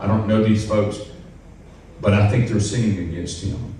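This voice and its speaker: A man speaks with a fairly low pitch. There is audible room echo and noticeable background noise. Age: 60s. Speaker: retired pastor. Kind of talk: panel discussion.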